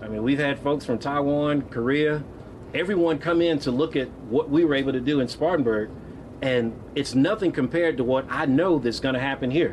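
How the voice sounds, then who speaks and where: A man with an unremarkable speaking voice talks at a fairly quick pace. His pitch is fairly high, with ordinary pitch variation. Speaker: nonprofit CEO and former state legislator. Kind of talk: ceremonial speech. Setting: outdoor public event with audience.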